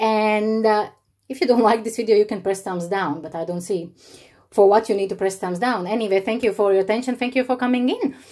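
A woman with a fairly high pitch speaks at a fairly quick pace in a dark, mellow tone. Her pitch varies in an ordinary way, and the background is quiet. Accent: non-native. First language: not English. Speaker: YouTuber. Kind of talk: unboxing vlog. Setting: home, evening. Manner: animated. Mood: warm, delighted, grateful. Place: home room. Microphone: phone near.

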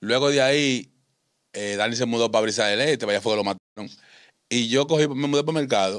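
At a fairly quick pace, a man talks with ordinary pitch variation, in dry sound with no echo and a quiet background. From Dominican Republic, San Juan countryside, raised in Santo Domingo; Dominican Republic. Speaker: ex-convict; interview guest. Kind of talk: interview, life story. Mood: calm, reflective storytelling. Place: studio. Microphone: studio mic.

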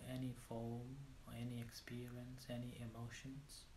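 A man talks fairly slowly in a calm, soothing, dark and mellow tone, somewhat breathy and monotone and flat, with audible room echo and light background noise. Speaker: meditation teacher. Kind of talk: guided meditation. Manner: slow, calm, soothing, with long pauses; gentle, instructional. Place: home room. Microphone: lapel.

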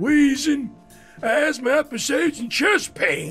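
A cartoonish character voice with high pitch speaks at a fairly slow pace as faint music plays in the background. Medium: puppet. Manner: out of breath, folksy.

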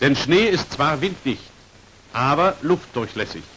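Lively intonation marks this man's medium-pitched voice, which has a fairly bright tone and a slightly husky edge. He speaks fairly slowly.

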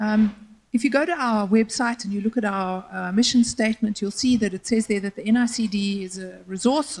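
A somewhat breathy woman's voice at a fairly quick pace. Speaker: public panelist. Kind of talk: panel presentation. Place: hall. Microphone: handheld.

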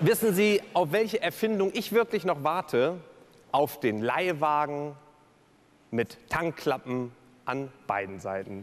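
A man's fairly high voice at a very slow pace, with very wide pitch swings and long, frequent pauses. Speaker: keynote speaker and cabaret performer. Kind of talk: cabaret-style speech on stage at a gala. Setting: live stage event. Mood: humorous, playful. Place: stage. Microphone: headset.

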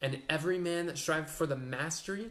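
Ordinary pitch variation from a man at a moderate pace. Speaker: speaker. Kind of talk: sermon. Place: home room. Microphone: webcam.

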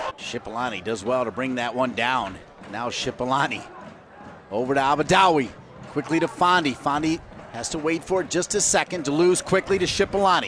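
Noticeable background noise sits behind a man with a fairly high pitch. He talks at a fairly quick pace with lively intonation. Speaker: play-by-play commentator. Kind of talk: live sports commentary. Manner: rising call on goals.

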